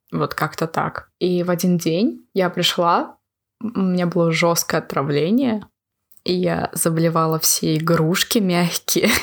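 At a very slow pace and with very even loudness, the speech comes through on a very clean recording against a silent background. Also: woman, fairly low pitch for a woman, ordinary pitch variation. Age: 20s. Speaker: university student. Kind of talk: casual chat.

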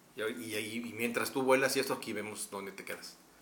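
Speaking in a central Mexican accent, a man uses a medium pitch, a moderate pace and ordinary pitch variation. Noticeable background noise and audible room echo are present. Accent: Mexican Spanish (central Mexico). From Mexico, Texcoco. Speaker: advertising creative. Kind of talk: casual chat.

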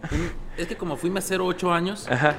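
A man talks at a moderate speed, with background noise clearly present. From Sinaloa, Mexico. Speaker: restaurant owner. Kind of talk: casual chat.

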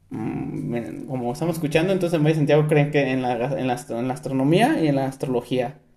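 Noticeable background noise sits behind this recording. A man with a fairly high pitch talks at a very fast pace. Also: ordinary pitch variation. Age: 20s. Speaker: podcast host. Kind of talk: casual chat.

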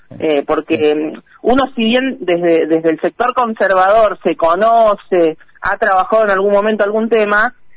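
Recorded dry and close with no echo, a woman with an ordinary speaking voice and medium pitch talks fairly slowly with lively intonation. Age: 30s. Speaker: national legislator. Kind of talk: radio interview.

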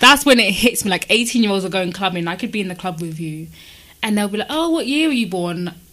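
A woman's medium-pitched voice at a very fast pace, with lively intonation and noticeable background noise. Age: 20s. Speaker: podcast host. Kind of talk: casual chat.

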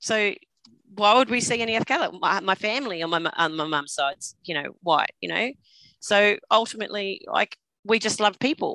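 With an Australian accent, a woman speaks at a moderate pace and a medium pitch, with lively intonation and a bright, sharp tone. The sound is dry and close, with no echo. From Australia (Queensland and New South Wales). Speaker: trauma survivor sharing her story. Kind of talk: personal testimony interview. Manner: hesitant, many fillers.

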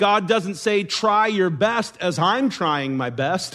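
A man at a fairly slow pace with ordinary pitch variation, audible room echo around him. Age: adult. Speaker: pastor. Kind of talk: sermon.

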